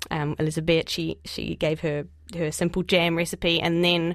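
At a moderate pace, a woman with a New Zealand accent speaks in a fairly low pitch with monotone, flat intonation. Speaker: journalist and author. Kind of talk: radio interview. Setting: studio.

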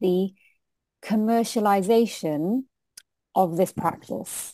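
On a very clean recording with a silent background and a dry, close sound with no echo, a woman speaks in a dark, mellow tone with lively intonation. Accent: British. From UK. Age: 40s. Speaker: diversity consultant and lawyer. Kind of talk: interview.

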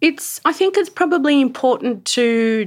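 On a very clean recording with a silent background, a woman with an Australian accent speaks at a very slow pace with very wide pitch swings. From Sydney, Australia. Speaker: cultural practitioner and researcher. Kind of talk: casual chat.

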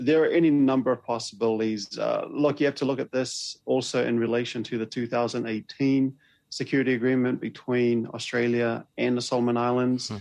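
With a New Zealand accent, a man at a medium pitch speaks at a fairly quick pace in a flat monotone with hardly any pauses. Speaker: Pacific policy expert. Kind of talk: interview.

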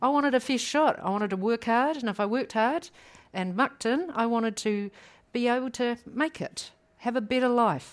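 At a moderate pace, a woman with a fairly high pitch speaks in a New Zealand accent with ordinary pitch variation. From New Zealand, South Island. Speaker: public law expert. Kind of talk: panel discussion. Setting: stage with audience.

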